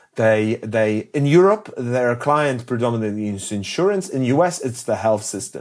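Fairly quick speech from a man comes through on a very clean recording with a silent background. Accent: Polish. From Poland. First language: Polish. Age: 40s. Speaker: health tech entrepreneur. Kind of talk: interview conversation. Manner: halting, many repetitions and fillers.

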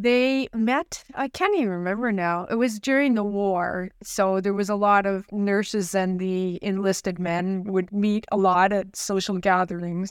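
A woman with a Canadian accent and a normal speaking voice talks at a fairly slow pace, her pitch medium and her intonation fairly even, on a very clean recording with a silent background. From Ottawa, Canada. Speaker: president and CEO of a bioscience nonprofit. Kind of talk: interview.

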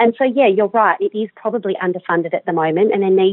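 Speaking at a very fast pace, a woman talks in an Australian accent. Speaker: general practitioner. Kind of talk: interview. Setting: phone call.

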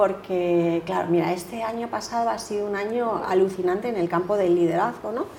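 A dark, mellow tone carries fairly even intonation. The pace is fairly quick, and the room echo is audible. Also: woman, medium pitch for a woman. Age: 50s. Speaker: leadership coach. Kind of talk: interview.

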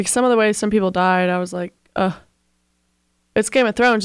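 In a very clean recording with a silent background, a woman talks very fast in a playful, bubbly tone with ordinary pitch variation. The sound is dry and close, without echo. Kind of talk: radio DJ patter, bantering sign-off and station ID. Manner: playful, bubbly, quick back-and-forth with co-host.

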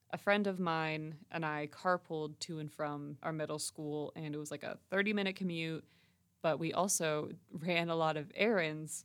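A woman with a very deep, low pitch speaks at a moderate pace with fairly even intonation. The recording is very clean, with a silent background. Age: 20s. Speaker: podcast host and communication student. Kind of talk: casual monologue. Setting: recording studio space.

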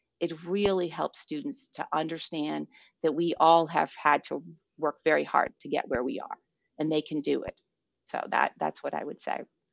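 In a dry, close sound with no echo, a woman speaks at a moderate pace. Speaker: physics professor. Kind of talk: casual interview. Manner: animated.

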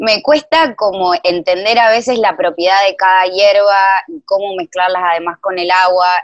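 In a dry, close sound with no echo, a woman talks at a moderate pace with hardly any pauses, at a medium pitch and with ordinary pitch variation. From Argentina. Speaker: listener. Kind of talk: casual chat. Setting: video call.

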